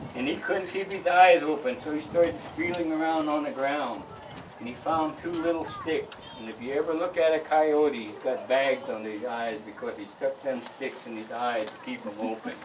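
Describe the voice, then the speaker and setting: A man's fairly high voice with lively intonation and big swings in loudness, at a moderate pace over noticeable background noise. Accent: American. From Northern California. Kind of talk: traditional oral storytelling at a ceremony. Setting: outdoors.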